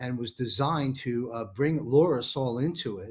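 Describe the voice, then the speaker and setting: The recording is very clean with a silent background. A man speaks in a normal speaking voice at a moderate pace, with a medium pitch and ordinary pitch variation. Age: 60s. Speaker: talk show host. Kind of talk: panel discussion.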